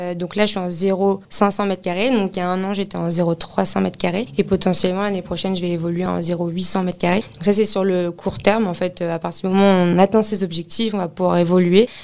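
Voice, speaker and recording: A woman's medium-pitched voice runs monotone and flat at a moderate pace. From Paris, France. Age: 20s. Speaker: office real estate consultant. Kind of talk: interview testimony.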